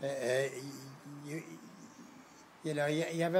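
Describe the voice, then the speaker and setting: A man with a Galway accent. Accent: Irish, Galway. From Galway, Ireland. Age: 80s+. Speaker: blacksmith. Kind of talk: interview answer.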